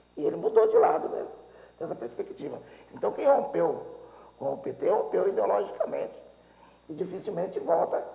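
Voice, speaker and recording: Noticeable background noise accompanies a man speaking at a moderate pace with long, frequent pauses. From Brazil, interior of São Paulo state. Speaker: teacher and mayoral candidate. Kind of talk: political interview. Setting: TV studio.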